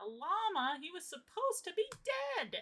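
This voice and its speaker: A woman uses a put-on character voice at an extremely high pitch. Her pitch swings very widely as she talks at a moderate pace. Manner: exaggerated.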